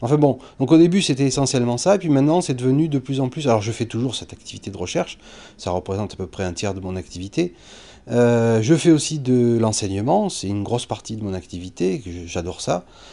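At a fairly quick pace, a man with a medium pitch and dark, mellow tone sweeps through very wide pitch swings. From southern France. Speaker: astrophysicist; teacher. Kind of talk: interview testimony. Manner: halting, many hesitations. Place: classroom.

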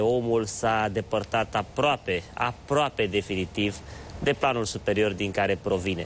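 The voice belongs to a man. Some light noise sits underneath it. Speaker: TV show host. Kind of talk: show introduction monologue. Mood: warm, reflective. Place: studio. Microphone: lapel.

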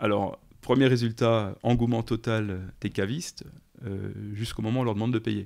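Fairly even in intonation, a man speaks at a moderate pace and medium pitch in an unremarkable speaking voice on a very clean recording with a silent background. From eastern France, countryside. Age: 40s. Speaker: startup founder and CEO. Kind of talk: interview.

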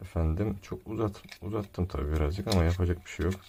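A man speaks at a moderate pace. His voice is somewhat breathy, with a dark, mellow tone. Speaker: tech reviewer / YouTuber. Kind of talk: product unboxing review. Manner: casual, joking.

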